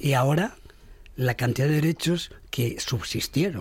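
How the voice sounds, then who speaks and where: Somewhat breathy, a man speaks at a medium pitch and fairly slow pace with ordinary pitch variation. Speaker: radio panelist. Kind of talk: panel debate. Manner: animated.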